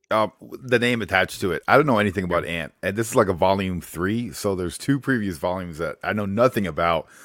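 With a fairly low pitch and ordinary pitch variation, a man talks at a very fast pace on a very clean recording with a silent background. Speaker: guest co-host comics fan. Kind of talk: casual chat.

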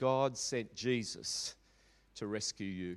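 With an Australian accent, the speaker goes at a very slow pace with lively intonation, in a very clean recording with a silent background and a dry, close sound with no echo. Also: man. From Australia, Melbourne (Maribyrnong). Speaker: pastor. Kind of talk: sermon. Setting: church.

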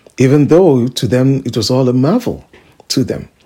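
A man's medium-pitched, somewhat breathy voice has a warm, dark, mellow tone and moves at a moderate pace. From Nigeria. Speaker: preacher. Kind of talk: radio sermon with exhortation, scripture teaching and personal testimony. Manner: fervent, emphatic preaching cadence with repeated phrases and hallelujahs; warm, conversational asides with filler uhs.

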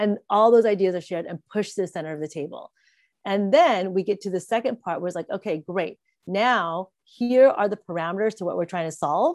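With a Californian accent, a woman speaks at a fairly quick pace and medium pitch with ordinary pitch variation, in a dry, close sound with no echo and a quiet background. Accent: American (Californian). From Southern California (Santa Monica), Vietnamese refugee. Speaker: entrepreneur and keynote speaker. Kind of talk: interview.

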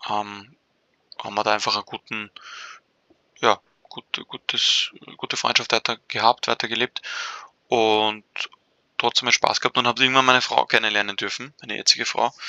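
A man with a fairly low pitch and a bright, sharp tone speaks at a moderate pace in a monotone, flat intonation, his loudness swinging widely between long, frequent pauses, in a dry, close sound with no echo. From Austria, Vienna. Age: 20s. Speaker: podcast co-host. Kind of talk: casual interview. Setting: online call.

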